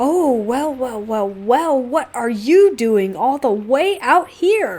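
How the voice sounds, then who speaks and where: In a put-on character voice, a woman cackles at a high pitch and a very slow pace. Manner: cackling.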